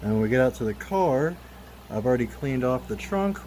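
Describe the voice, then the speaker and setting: A man speaks at medium pitch with noticeable background noise behind him. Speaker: car enthusiast youtuber. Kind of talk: tutorial. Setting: outdoors. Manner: casual; loud, talking over fan.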